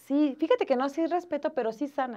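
Against a quiet background, a woman talks with lively intonation and a dark, mellow tone. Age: 20s. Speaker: mother and student. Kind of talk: casual chat. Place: studio.

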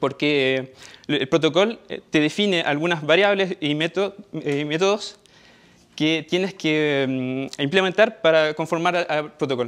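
Pacing is fairly slow for this man. His pitch is fairly high, with ordinary variation. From Chile. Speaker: software developer; conference presenter. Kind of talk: conference talk. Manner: halting. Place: meeting room.

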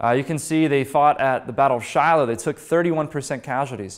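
A man with an American accent and an unremarkable speaking voice talks at a fairly quick pace and fairly high pitch, with ordinary pitch variation, over a quiet background. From western Pennsylvania, Pittsburgh; Pennsylvania. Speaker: history speaker, former battlefield guide; speaker, former battlefield guide. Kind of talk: public history lecture. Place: meeting room. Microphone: lapel.

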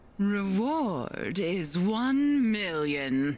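Doing a put-on character voice, a woman at medium pitch swings her pitch very widely, with clear background noise behind her. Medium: dub. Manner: cool, menacing.

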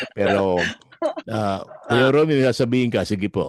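Animated man at a fairly quick pace, with lively intonation and a medium pitch. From Philippines. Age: 60s. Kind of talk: casual chat.

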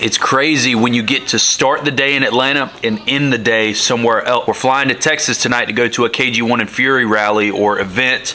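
A fairly quick delivery with very even loudness, fairly even intonation and hardly any pauses. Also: man. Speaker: automotive vlogger. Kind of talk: casual vlog chat. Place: office. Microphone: phone near.

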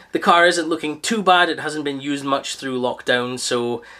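A man speaks at a moderate pace in a bright, sharp tone. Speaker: car detailing reviewer. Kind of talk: product review talk. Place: garage. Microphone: camera far.

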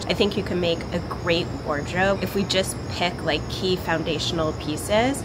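Loud background noise fills the recording. A woman talks at a moderate pace. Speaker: vlogger. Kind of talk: casual talk to camera. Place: garden.

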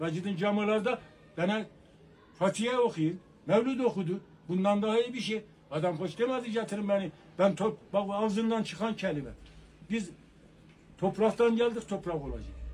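Over light background noise, a man with a high pitch and ordinary pitch variation talks at a moderate pace, with long, frequent pauses. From Turkey, Erzurum; Turkey. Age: 70s. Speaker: elderly man interviewed; interviewee. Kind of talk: street interview. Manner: animated. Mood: earnest, emphatic. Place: shop.

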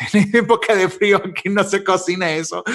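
A man at a fairly slow pace, with ordinary pitch variation over a quiet background. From Monterrey, northern Mexico. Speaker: commercial voice-over announcer. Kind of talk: interview answer. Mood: jokey, laughing. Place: office. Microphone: studio mic.

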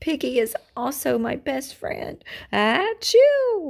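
Using a put-on character voice, a woman talks slowly at a high pitch, with big pitch swings and vocal fry.

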